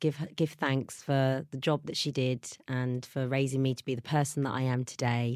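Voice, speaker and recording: The recording is very clean, with a silent background. A woman with a very deep, low pitch speaks at a moderate pace in a southern English accent. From southern England. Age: 40s. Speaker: mother. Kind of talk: casual chat.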